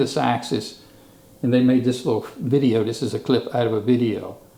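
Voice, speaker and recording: Fairly quick speech from a man in an American accent, noticeable noise in the background. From Eastern Shore of Virginia, US. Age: 70s. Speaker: local historian. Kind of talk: presentation.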